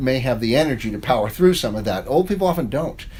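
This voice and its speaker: A man talks with a slight New York accent at a medium pitch. His pitch swings very widely. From New York, Long Island. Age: 60s. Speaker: professor and author. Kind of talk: interview. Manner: casual, conversational.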